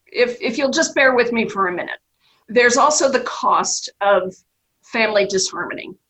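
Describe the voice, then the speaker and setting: With an American accent, a woman speaks at a moderate pace in a high pitch with lively intonation. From New York, US Northeast. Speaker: trust company executive. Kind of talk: radio interview discussion. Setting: remote interview.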